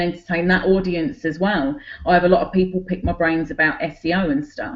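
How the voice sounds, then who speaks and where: The speaker has a Cockney accent and a fairly quick pace. Pitch variation is ordinary. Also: woman. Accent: Cockney London English. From London, England (Cockney). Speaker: online business owner. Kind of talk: group video call presentation.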